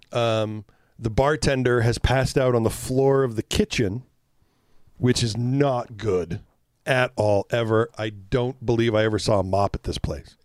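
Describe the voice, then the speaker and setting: Recorded with a dry, close sound and no echo, a man speaks at a moderate pace and medium pitch with ordinary pitch variation. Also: very clean recording, silent background. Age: 50s. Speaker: relationship podcast co-host. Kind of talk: casual chat. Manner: soft tone.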